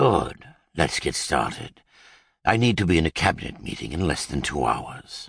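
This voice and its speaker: This is a man doing a put-on character voice at a very deep, low pitch. His pitch swings very widely at a moderate pace. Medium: read story. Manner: brisk, authoritative.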